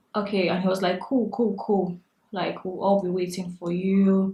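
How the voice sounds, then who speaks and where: At a moderate pace, a woman with a Nigerian accent speaks at a medium pitch, somewhat breathy. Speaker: beauty vlogger. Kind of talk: storytime vlog while doing makeup. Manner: animated.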